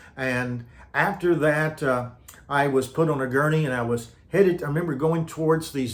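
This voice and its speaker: Audible room echo hangs around the voice. The man speaking has an American accent. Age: 70s. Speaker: retired pastor. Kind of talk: personal testimony. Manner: halting with many fillers and repetitions.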